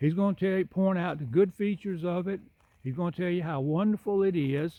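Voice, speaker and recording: This man has a high, dark, mellow voice with ordinary pitch variation and a moderate pace. The sound is dry and close, with no echo. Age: 60s. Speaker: home builder and video blogger. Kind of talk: casual educational talk. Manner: unscripted, some hesitations.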